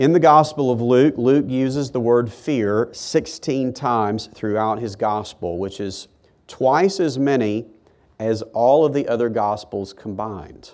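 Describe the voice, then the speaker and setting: With an unremarkable speaking voice, a man talks fairly slowly at a medium pitch, his pitch varying in an ordinary way. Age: 40s. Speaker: pastor. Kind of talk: sermon.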